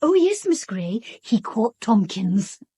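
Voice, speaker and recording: Using a put-on character voice, the speaker moves at a fairly slow pace with very wide pitch swings. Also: woman, fairly high pitch for a woman. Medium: audio drama.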